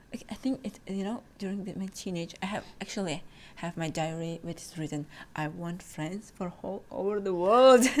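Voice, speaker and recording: This woman's voice sits at a medium pitch. She talks at a moderate pace. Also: ordinary pitch variation. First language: not English (English is third language). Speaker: podcast host, exchange student. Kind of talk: casual chat. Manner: halting, many fillers.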